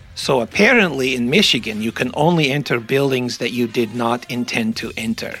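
Amid noticeable background noise, a man talks at a fairly quick pace with hardly any pauses. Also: medium pitch for a man, ordinary pitch variation. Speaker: podcast host. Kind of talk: casual comedic commentary. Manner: jokey, rambling.

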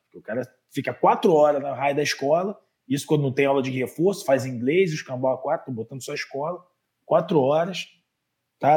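A man talks at a very fast pace in a Rio de Janeiro accent. His voice is somewhat breathy and medium in pitch, with ordinary pitch variation. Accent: carioca. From Rio de Janeiro, Méier. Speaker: physical education professional, master's student. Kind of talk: casual interview chat. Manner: animated, slangy.

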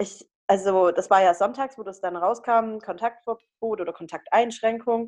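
A woman's unremarkable speaking voice, fairly high in pitch, at a moderate pace with fairly even intonation and big swings in loudness. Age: 20s. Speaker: student podcast co-host. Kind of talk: casual chat.

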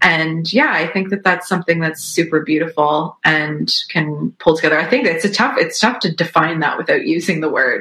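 Hardly any pauses from a woman in a Canadian accent at a fairly low pitch, with noticeable background noise. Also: ordinary pitch variation, moderate pace. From Canada, Toronto area. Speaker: singer-songwriter. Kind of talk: casual interview chat.

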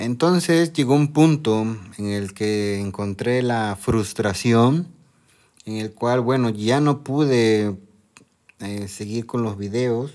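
A man's medium-pitched voice, very slow in pace, with ordinary pitch variation. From Mexico. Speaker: podcast host, university lecturer. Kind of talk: casual solo monologue. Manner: hesitant, with fillers and repetitions.

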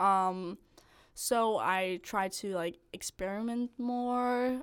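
A woman is speaking. She has a Danish accent. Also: very clean recording, silent background. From Denmark, north of Copenhagen. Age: 20s. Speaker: medical student. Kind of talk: casual chat.

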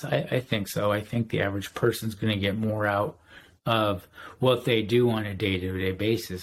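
Recorded very cleanly against a silent background, a man with a normal speaking voice talks at a moderate pace and a fairly low pitch, with fairly even intonation. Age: 40s. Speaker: detailer and sanding block maker. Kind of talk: casual chat.

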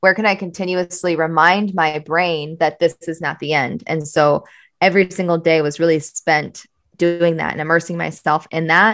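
Speaking at a moderate pace, a woman has a plain, everyday voice at a fairly low pitch with fairly even intonation. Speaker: entrepreneur and coach. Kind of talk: interview.

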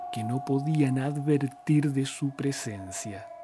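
Speaking very slowly in a solemn tone, a man keeps a medium pitch with ordinary pitch variation against noticeable background noise. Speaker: podcast storyteller. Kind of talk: scripted horror narration, ghost story telling. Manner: slow, solemn, hushed and eerie, with ornate literary phrasing; formal, dramatic and brooding.

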